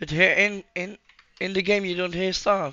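A man at a fairly slow pace, with music playing in the background. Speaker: gamer. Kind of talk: casual gameplay commentary.

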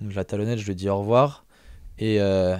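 With a dark, mellow tone and fairly even intonation, a man is heard in a dry recording with no echo and a quiet background. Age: younger than 42. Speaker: strength athlete; podcast guest or host. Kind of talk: casual chat. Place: studio. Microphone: studio mic.

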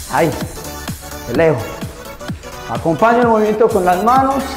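The speech goes at a fairly slow pace over clear music in the background. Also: man. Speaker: fitness instructor. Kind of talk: workout coaching cues.

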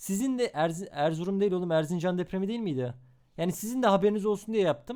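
A man speaks at a very fast pace in an animated tone. His pitch varies in an ordinary way. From Istanbul, Turkey. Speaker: streamer. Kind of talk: reaction stream commentary.

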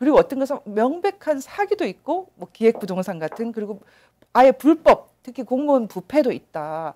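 A woman's high-pitched voice with a dark, mellow tone, very wide pitch swings, big swings in loudness and a moderate pace. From South Korea. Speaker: interviewer host. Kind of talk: interview. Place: studio. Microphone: lapel.

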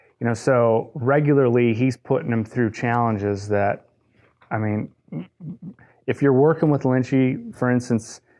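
Speaking at a moderate pace with long, frequent pauses, a man with an American accent keeps a medium pitch and fairly even intonation. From US Midwest, Detroit, Michigan. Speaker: golf coach. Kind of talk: casual interview chat.

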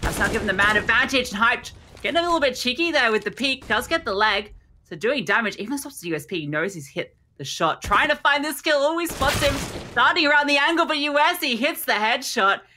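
A woman speaks in a raised, projected voice at a high pitch, with very wide pitch swings. Her tone is energetic, bright and sharp, and her pace fairly quick. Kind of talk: esports match commentary. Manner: fast, clipped play-by-play delivery; energetic, tracking each kill as it happens.

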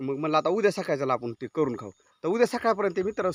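A man speaks at a high pitch with very wide pitch swings. The sound is dry and close, with no echo. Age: 40s. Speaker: goat farmer and YouTuber. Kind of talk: casual vlog walkthrough. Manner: informal conversational.

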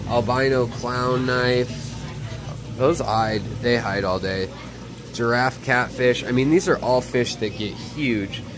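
A man talks at a very slow pace as noticeable background noise plays behind him. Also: ordinary pitch variation. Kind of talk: casual vlog commentary. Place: shop. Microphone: phone near.

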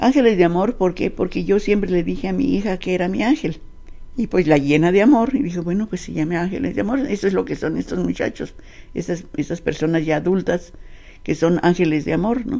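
Her voice is fairly low, with a dark, mellow tone and vocal fry. This woman talks at a fairly quick pace with lively intonation. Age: 80s+. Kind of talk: interview answer. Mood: earnest, reflective. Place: home room. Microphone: handheld.

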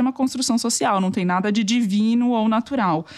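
An ordinary speaking voice from a woman, fairly high in pitch, with fairly even intonation and a fairly quick pace. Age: over 24. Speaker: political journalist, podcast co-host. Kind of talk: casual political discussion. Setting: home recording.

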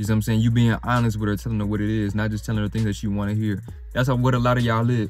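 A man speaks at a very fast pace with fairly even intonation. The sound is dry with no echo, and faint music plays in the background. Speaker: dating advice vlogger. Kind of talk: casual vlog chat. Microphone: phone near.

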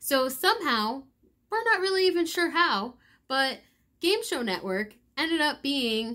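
Against a quiet background, a woman uses a raised, projected voice with very wide pitch swings. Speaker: daily vlogger. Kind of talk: casual vlog chat. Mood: cheerful, laughing. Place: home room. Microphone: phone near.

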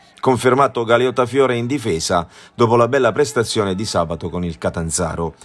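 At a fairly quick pace, a man speaks in an animated, dramatic tone at medium pitch with lively intonation. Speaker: sports commentator. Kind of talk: live-style football match commentary over highlights footage, voiced-over. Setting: voice-over recorded for highlights video. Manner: partisan and animated, dramatic on goals, critical of Foggia's performance.

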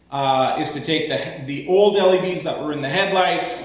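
Audible room echo around a male voice of ordinary pitch variation. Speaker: tractor owner. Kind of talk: tutorial. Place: garage. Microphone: camera far.

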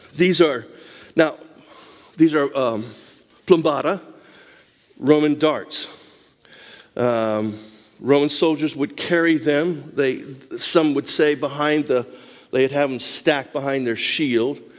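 Against a quiet background, a man with a fairly high pitch speaks at a very slow pace, with ordinary pitch variation and long, frequent pauses. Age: 60s. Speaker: missionary and lay preacher; lay preacher. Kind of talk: Bible study talk with show-and-tell. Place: church.

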